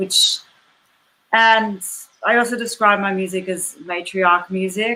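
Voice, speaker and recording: This woman's voice has a bright, sharp tone, with fairly even intonation and a fairly slow pace. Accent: Australian. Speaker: musician. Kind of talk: panel discussion.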